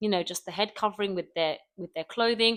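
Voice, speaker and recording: A woman with a British accent is heard in a dry, close sound with no echo on a very clean recording with a silent background. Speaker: YouTuber. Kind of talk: casual vlog monologue. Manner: fast; loud. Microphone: close microphone.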